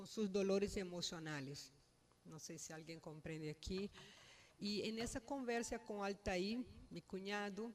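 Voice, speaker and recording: A woman with a Brazilian accent at a fairly slow pace, medium pitch with ordinary variation, big swings in loudness. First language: Portuguese (speaking Spanish). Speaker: family member giving eulogy. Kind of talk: eulogy. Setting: funeral home. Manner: halting.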